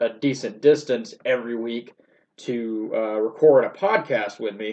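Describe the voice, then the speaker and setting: A man with a plain, everyday voice talks at a medium pitch and a fairly slow pace. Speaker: podcast host. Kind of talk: casual solo podcast update. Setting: solo recording.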